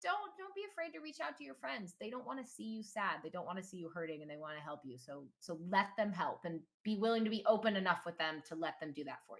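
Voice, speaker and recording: A woman's medium-pitched voice with very wide pitch swings, big jumps in loudness, a very fast pace and hardly any pauses. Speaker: gaming content creator and streamer. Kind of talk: casual chat.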